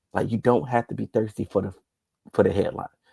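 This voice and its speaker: A man's voice sits at a medium pitch with a dark, mellow tone and vocal fry. The sound is dry and close, with no echo. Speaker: sports commentator. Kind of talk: casual monologue.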